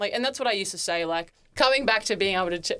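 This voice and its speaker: Ordinary pitch variation marks a woman's medium-pitched voice. The recording is very clean, with a silent background. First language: Turkish. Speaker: fitness influencer and content creator. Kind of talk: casual podcast interview.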